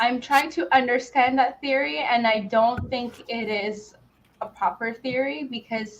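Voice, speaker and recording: A woman takes a fairly slow pace, her intonation lively throughout. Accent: non-native. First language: not English. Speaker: podcast guest, gaming fan. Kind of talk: casual chat. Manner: halting.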